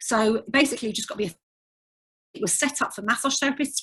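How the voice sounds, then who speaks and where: A woman with an English accent, fairly high-pitched, very fast, with ordinary pitch variation. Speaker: physiotherapist and tutor. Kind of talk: webinar lecture. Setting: online webinar.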